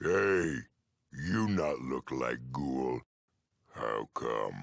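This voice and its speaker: A growling put-on character voice at a very slow pace. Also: man, very deep, low pitch for a man. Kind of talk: comic dumb-brute voice. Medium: game stream. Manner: slow, broken simple speech.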